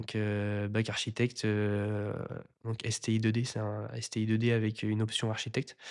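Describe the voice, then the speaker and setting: A man talks at a fairly low pitch and a moderate pace, his intonation monotone and flat. The background is quiet. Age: 20s. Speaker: renovation content creator. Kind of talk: casual interview. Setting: recorded at his house under renovation. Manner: hesitant, many fillers.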